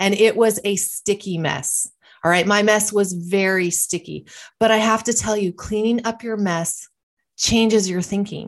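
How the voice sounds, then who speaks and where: A woman speaks in an ordinary speaking voice at a medium pitch. Her intonation stays fairly even, her pace is fairly slow, and the background is quiet. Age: 50s. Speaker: wellness podcast host. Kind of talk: motivational monologue.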